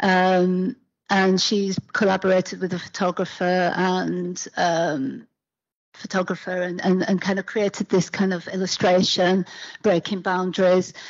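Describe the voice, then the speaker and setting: A woman with a British accent, fairly slow and monotone, her flat delivery set against a quiet background. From UK. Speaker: academic panel chair. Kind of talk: panel discussion. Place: hall.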